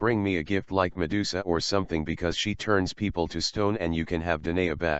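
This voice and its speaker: A man does a put-on character voice with a very deep, low pitch. He moves at a fairly quick pace with fairly even intonation and hardly any pauses. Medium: audio drama.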